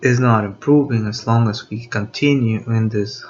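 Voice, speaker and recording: Here a man speaks in a Spanish accent. His pitch is medium and his pace fairly slow. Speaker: video blogger. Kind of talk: unscripted monologue. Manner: halting, many fillers.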